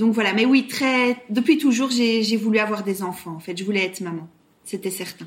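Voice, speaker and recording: A woman speaks at a fairly high pitch. Noticeable background noise is present. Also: ordinary pitch variation, moderate pace. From Belgium, Brussels. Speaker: surrogate mother. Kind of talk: interview testimony. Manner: hesitant, many fillers and repetitions.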